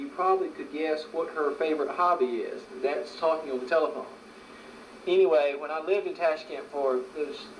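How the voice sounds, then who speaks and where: A man talks at a fairly high pitch while noticeable noise fills the background. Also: ordinary pitch variation, moderate pace. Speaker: interviewer. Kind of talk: casual home interview.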